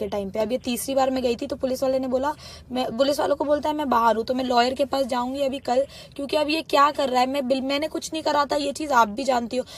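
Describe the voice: A woman speaks fast with few pauses, using a high pitch and fairly even intonation.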